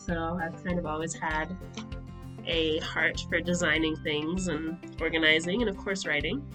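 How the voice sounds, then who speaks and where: A woman speaks at a very slow pace with a fairly low pitch. Music plays in the background. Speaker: nonprofit founder. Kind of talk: casual talk to camera. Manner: hesitant, nervous.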